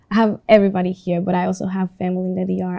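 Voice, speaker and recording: A woman with a Spanish accent speaks in a fairly low, dark, mellow tone with monotone, flat intonation. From Dominican Republic. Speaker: student interviewee. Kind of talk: class project interview.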